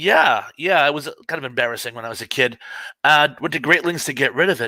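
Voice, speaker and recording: At a fairly quick pace, a man's bright, sharp voice sits at a fairly high pitch with ordinary pitch variation. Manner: emphatic inflection, extra effort on syllables, DJ-like when sounding official.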